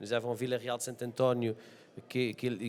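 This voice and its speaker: A man's medium-pitched voice with a Portuguese accent. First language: Portuguese (speaking French). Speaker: deputy mayor. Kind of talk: panel discussion. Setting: conference with audience. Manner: halting, many hesitations.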